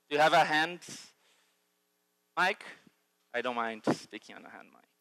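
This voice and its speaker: A man with a Brazilian accent speaks at a fairly high pitch, his bright, sharp tone captured in a dry, close recording with no echo. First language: Portuguese. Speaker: futurist and educator. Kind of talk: conference keynote. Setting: stage with audience. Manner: halting, many fillers.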